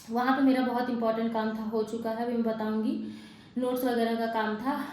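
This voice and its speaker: A woman with a fairly high pitch speaks at a moderate pace in monotone, flat intonation, with audible room echo and noticeable background noise. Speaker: vlogger, exam aspirant. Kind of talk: casual vlog. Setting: walking outdoors and hostel room. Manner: soft-spoken, low volume.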